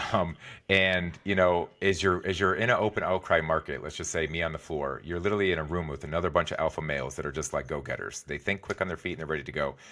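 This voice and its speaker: At a very fast pace with hardly any pauses, a man speaks in a very deep, low pitch, his tone bright and sharp, with vocal fry and ordinary pitch variation. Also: very clean recording, silent background. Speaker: executive and wellness coach, former trader. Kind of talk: podcast interview.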